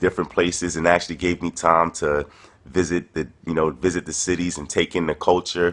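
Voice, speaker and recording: Speaking at a moderate pace with a New York accent, a man delivers a very deep, low voice in a monotone, flat intonation. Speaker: touring performance poet. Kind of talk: casual spoken video message. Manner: hesitant, many fillers.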